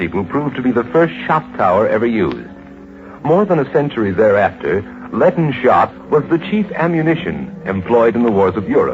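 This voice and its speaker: With music playing in the background, a man at medium pitch moves through very wide pitch swings at a moderate pace. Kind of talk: old-time radio drama narration.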